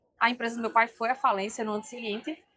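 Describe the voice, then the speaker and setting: A woman's fairly high voice at a very fast pace, dry and close with no echo. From Brazil, Rio Grande do Norte (Northeast). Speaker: leadership trainer and speaker. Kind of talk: podcast interview. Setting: event booth at an education fair.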